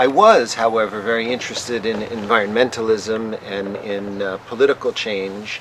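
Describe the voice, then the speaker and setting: Medium-pitched male speech at a moderate pace, monotone and flat, with hardly any pauses and noticeable background noise. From United States. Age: 50s. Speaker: scholar of psychedelics and religion. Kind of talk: interview. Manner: halting, many fillers.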